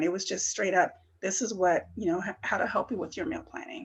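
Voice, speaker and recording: Somewhat breathy speech from a woman with lively intonation. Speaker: student wellness presenter. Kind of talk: workshop presentation. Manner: many fillers (um, uh).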